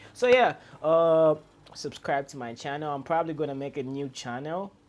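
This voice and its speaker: A man speaks with an African accent. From Zambia. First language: non-English Zambian language. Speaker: YouTuber. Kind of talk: vlog monologue. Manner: hesitant with fillers and repetitions; trying to speak loud and clear.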